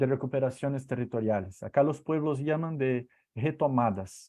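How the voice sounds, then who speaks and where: A man with a Portuguese accent speaks at a moderate pace and medium pitch, with ordinary pitch variation. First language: Portuguese (speaking Spanish). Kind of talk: online talk. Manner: halting, many fillers and repetitions.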